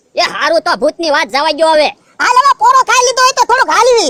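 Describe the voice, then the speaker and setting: A cartoonish character voice at an extremely high pitch rattles along at a fairly quick pace with very wide pitch swings. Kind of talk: comic cartoon acting. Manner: complaining, rustic.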